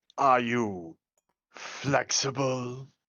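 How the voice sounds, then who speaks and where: A put-on character voice is pitched in the low-to-middle range. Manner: put-on, acted.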